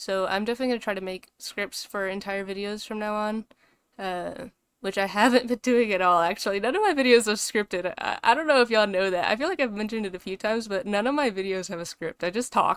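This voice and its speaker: A woman speaks at a very fast pace and a fairly high pitch. The recording is very clean with a silent background and a dry, close sound with no echo. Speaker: VTuber artist vlogger. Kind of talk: casual unscripted commentary over speed draw. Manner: monotone; hesitant, many fillers.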